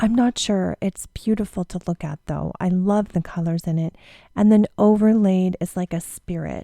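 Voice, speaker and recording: A woman with a Canadian accent speaks at a medium pitch in a dark, mellow tone, with fairly even intonation and a moderate pace. The recording is very clean with a silent background, the sound dry and close with no echo. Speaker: tarot reader and podcast host. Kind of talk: podcast tutorial. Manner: casual, chatty.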